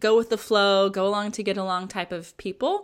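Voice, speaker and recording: An ordinary speaking voice at a fairly slow pace, captured in a very clean recording with a silent background. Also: woman. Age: 30s. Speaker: Enneagram coach and podcaster. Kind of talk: casual chat.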